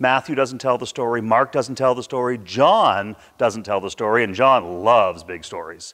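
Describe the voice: At a moderate pace, a man speaks with a medium pitch, a fairly bright tone and ordinary pitch variation.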